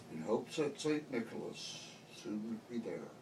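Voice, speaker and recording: A man speaks fairly slowly as noticeable noise carries on behind him. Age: 70s. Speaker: grandfather. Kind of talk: poetry reading to family.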